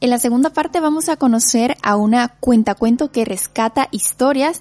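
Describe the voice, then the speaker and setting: A woman speaks at a moderate pace and a high pitch, in a dry, close sound with no echo. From Nicaragua. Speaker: radio host. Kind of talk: radio interview.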